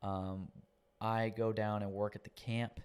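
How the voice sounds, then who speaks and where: A man speaks in a Southern US accent with a fairly low pitch. His intonation is monotone and flat. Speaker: podcast guest sharing his faith testimony. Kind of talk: testimony. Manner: casual.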